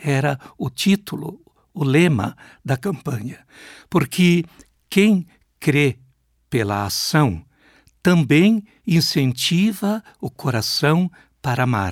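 Speaking very slowly with long, frequent pauses, a man with a fairly high voice swings his pitch very widely, in a very clean recording with a silent background and a dry, close sound with no echo. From Brazil, Rio Grande do Sul (Passo Fundo). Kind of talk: interview.

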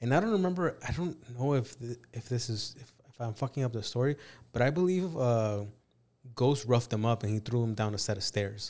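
On a very clean recording with a silent background, a man with a plain, everyday voice and an American accent talks fairly quickly in a medium pitch with lively intonation. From California. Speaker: podcast host. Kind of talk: casual chat.

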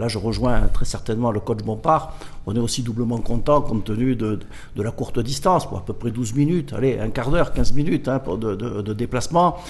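A man at medium pitch, with lively intonation and a moderate pace. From Corsica. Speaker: football club general manager. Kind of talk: studio interview. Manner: halting.

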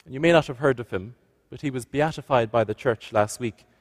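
Speaking with a West Cork accent, a man uses ordinary pitch variation. The recording is very clean, with a silent background and a dry, close sound with no echo. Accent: West Cork Irish. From West Cork, Ireland. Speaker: visiting priest giving a homily. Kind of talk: sermon.

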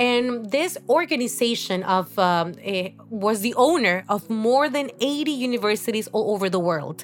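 A fairly slow, lively-toned voice in a Spanish accent, with noticeable background noise. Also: woman, fairly high pitch for a woman. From Honduras. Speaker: course director in education. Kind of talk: interview conversation. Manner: halting, many fillers.

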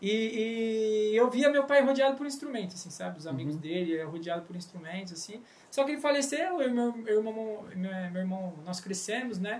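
Barely pausing, a man talks at a fairly quick pace and a high pitch, with lively intonation and big swings in loudness. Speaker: podcast co-host, church music leader. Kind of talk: casual chat.

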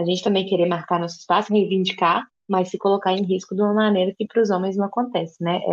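Talking at a fairly quick pace, a woman speaks at a medium pitch. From interior of Minas Gerais, Brazil. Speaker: podcast co-host. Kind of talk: casual chat.

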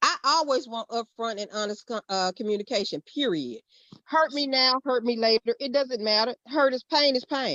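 With a Southern US accent, a woman talks at a moderate pace in a high pitch with ordinary pitch variation. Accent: Southern US, noticeable twang. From Mississippi. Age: 50s. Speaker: guest discussing dating experiences. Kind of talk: casual panel conversation.

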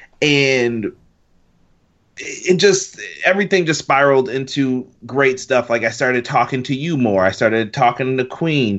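A plain, everyday voice: a man of medium pitch, fairly slow, with ordinary pitch variation. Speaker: wrestling fan. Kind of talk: casual chat.

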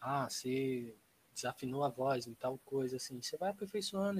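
The man's voice sits at a fairly high pitch and sounds somewhat breathy. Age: 20s. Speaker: interior design student and amateur rapper. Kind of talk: casual chat.

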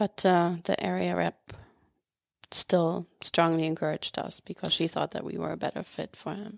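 Recorded very cleanly with a silent background, a woman with a German accent is heard in a dry, close sound with no echo. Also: moderate pace. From Germany, city-raised. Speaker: former exchange student and host parent. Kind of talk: casual interview chat. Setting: studio.

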